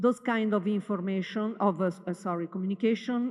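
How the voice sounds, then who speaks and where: Here a woman is speaking. She has an Italian accent. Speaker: university communications head. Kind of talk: welcome day presentation. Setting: stage with audience. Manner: halting, with many fillers.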